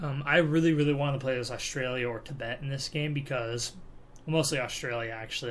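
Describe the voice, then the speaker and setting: A soft-spoken man talks at a very fast pace with fairly even intonation. Audible room echo surrounds the voice. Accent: American. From California, US. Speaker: gaming YouTuber. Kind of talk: let's play commentary. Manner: casual, hesitant with fillers.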